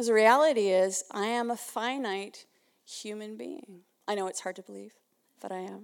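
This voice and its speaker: A woman with a Canadian accent and a plain, everyday voice speaks at a moderate pace in a fairly high pitch, with ordinary pitch variation. Her loudness swings widely on a very clean recording with a silent background. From Canada (Winnipeg). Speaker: ministry leader and speaker. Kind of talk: sermon. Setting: church.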